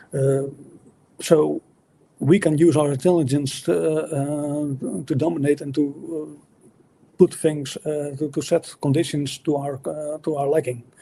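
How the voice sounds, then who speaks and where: Speaking at a fairly slow pace with a non-native accent, a man with a fairly high pitch and a dark, mellow tone leaves long, frequent pauses and swings widely in loudness. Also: fairly even intonation. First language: not English. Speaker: atheist debater. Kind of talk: debate. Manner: halting, many fillers and restarts.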